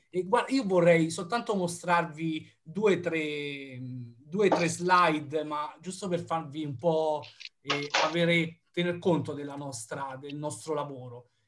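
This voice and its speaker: Over loud background noise, a man speaks at a very slow pace and a fairly high pitch, with ordinary pitch variation and big swings in loudness. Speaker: researcher. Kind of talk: lecture. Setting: video call. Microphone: video call.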